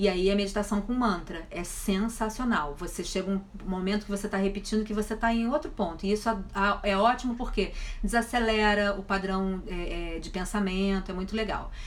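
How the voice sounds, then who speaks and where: This woman keeps a moderate pace. Her voice comes with audible room echo and noticeable background noise. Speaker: online wellness speaker. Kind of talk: live stream Q&A. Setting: Instagram live. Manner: stutters at times.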